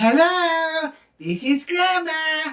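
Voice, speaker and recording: A woman uses a put-on character voice. It is extremely high in pitch, with fairly even intonation. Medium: solo performance. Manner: doting, fussy.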